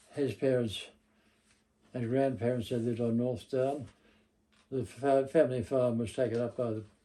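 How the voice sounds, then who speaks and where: A man speaks with an Australian accent and a dark, mellow tone. His pitch varies in an ordinary way. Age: 90s. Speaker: local history interviewee. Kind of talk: oral history interview.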